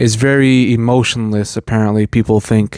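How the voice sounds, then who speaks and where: This man keeps a moderate pace, and his intonation stays fairly even. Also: dry, close sound with no echo. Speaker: movie reviewer. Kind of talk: movie review monologue. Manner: halting, many false starts.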